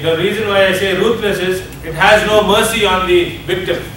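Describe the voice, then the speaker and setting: A high-pitched male voice, raised and projected, with fairly even intonation, light background noise and audible room echo. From India. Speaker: addiction ministry leader. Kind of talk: seminar lecture. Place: hall. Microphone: camera far.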